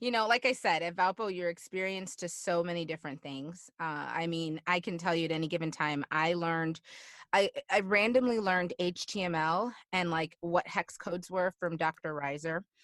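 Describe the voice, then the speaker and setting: With a Chicago accent, a woman speaks animatedly at a moderate pace and fairly low pitch, ordinary pitch variation, in a dry, close sound with no echo over a quiet background. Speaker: alumni guest, fitness instructor and motivational speaker. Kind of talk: casual interview. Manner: animated, many fillers.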